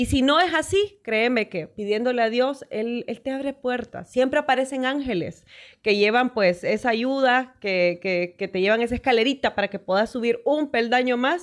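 Speaking with a Honduran accent, a woman with a high pitch talks at a moderate pace with lively intonation, hardly any pauses and a quiet background. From Honduras, Danlí; Honduras. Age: 40s. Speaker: sports broadcaster; podcast guest. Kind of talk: interview. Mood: warm, earnest, encouraging. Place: studio. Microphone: studio mic.

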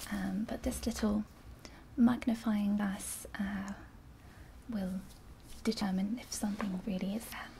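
A soft-spoken woman with a gentle tone and monotone, flat intonation at a fairly slow pace, over light background noise. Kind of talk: roleplay examination instructions. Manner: soft, gentle ASMR examiner voice. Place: home room.

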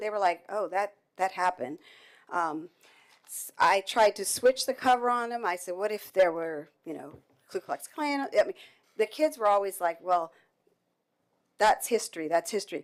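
A woman with a fairly high pitch, lively intonation, big swings in loudness, a moderate pace and long, frequent pauses. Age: 60s. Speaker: school board member. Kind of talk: public meeting remarks. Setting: school board meeting. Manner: hesitant, many fillers.

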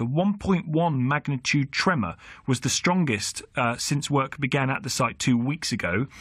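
Over a quiet background, a man speaks with lively intonation and vocal fry, in a dry sound with no echo. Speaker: radio presenter. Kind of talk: radio phone-in introduction. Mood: conversational, lightly humorous. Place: studio.

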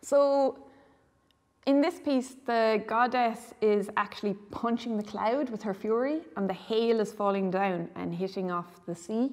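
Against a quiet background, a woman speaks at a fairly slow pace with a western Irish accent and ordinary pitch variation. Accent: Irish (west of Ireland). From Ireland, Galway; Ireland. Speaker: visual artist. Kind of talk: gallery tour interview. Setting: art gallery. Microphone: lapel.

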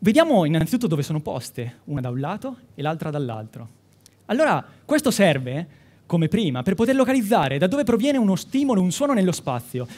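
A man's high-pitched voice at a very fast pace, with very wide pitch swings. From Umbria, Italy (Città di Castello, Perugia). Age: 20s. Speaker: medical student, science communication contestant. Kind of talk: timed science talk for a competition. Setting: stage with audience. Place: hall.

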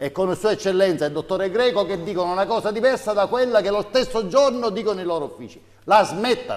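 The pace is very fast. Pitch varies by ordinary amounts. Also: man, high pitch for a man. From Sicily. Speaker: mayor. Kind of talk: political statement, interview excerpt. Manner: halting. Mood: firm, critical, indignant at end. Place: studio. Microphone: lapel.

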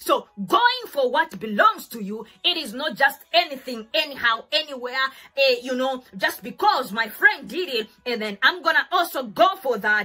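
Using a raised, projected voice, a woman speaks at a moderate pace with very wide pitch swings. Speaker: faith teacher. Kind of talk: sermon. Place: home room.

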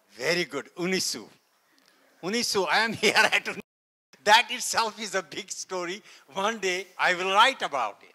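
A man's raised, projected voice, high and bright with a sharp tone, at a fairly slow pace with long, frequent pauses, big swings in loudness and ordinary pitch variation, against a quiet background. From India, Kashmir. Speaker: NASA scientist; guest lecturer. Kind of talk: lecture.

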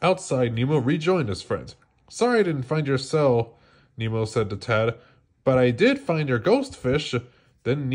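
The speaker reads in an unforced voice with lively intonation.

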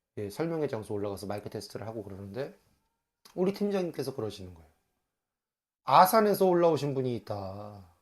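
At a very fast pace broken by long, frequent pauses, a man with a medium pitch sounds animated, with very wide pitch swings and big shifts in loudness, on a very clean recording with a silent background. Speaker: tax accountant and exam lecturer. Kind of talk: casual vlog monologue. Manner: conversational, animated storytelling.

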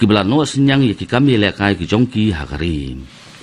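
The speaker is a man. He moves at a fairly quick pace. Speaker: radio newsreader. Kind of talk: news reading. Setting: studio. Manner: formal; steady, even-paced bulletin delivery. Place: studio.

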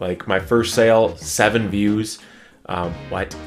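Over faint music in the background, a man speaks in a fairly low pitch with fairly even intonation. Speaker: NFT artist vlogger. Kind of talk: casual vlog chat. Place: home room.

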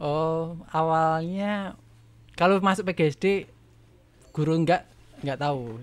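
Very slowly and with long, frequent pauses, a man with a fairly high pitch speaks using ordinary pitch variation. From Yogyakarta region, Indonesia; Indonesia. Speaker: primary school teacher and rabbit farmer; primary school teacher, rabbit farmer. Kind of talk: casual interview chat. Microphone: studio mic.

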